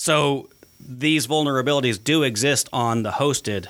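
At a moderate pace, a man talks in a normal speaking voice at medium pitch with ordinary pitch variation. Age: 40s. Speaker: podcast host, IT company executive. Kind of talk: casual chat.

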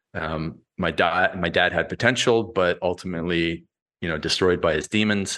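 With a Canadian accent, a man talks at a moderate pace in a very deep, low pitch and a bright, sharp tone over a quiet background. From Canada. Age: 40s. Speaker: fitness and business coach, author. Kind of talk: interview conversation.

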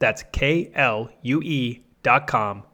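The recording is very clean, with a silent background. A man speaks at medium pitch with lively intonation. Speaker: podcast host. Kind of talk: interview, casual conversation. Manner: stumbles when brain outpaces mouth.

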